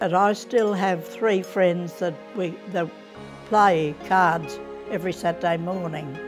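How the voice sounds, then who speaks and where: Over faint music in the background, a woman with an Australian accent speaks at a fairly slow pace with fairly even intonation. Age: 80s+. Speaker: interviewee. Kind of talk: interview answer. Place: home room. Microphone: lapel.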